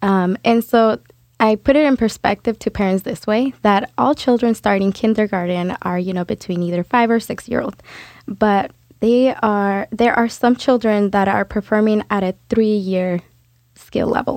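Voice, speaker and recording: A woman's fairly high-pitched, plain, everyday voice at a moderate pace, with fairly even intonation and a dry, close sound free of echo. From Mexico, raised in US from first grade. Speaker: community parent advocate. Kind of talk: interview. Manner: frequent laughter.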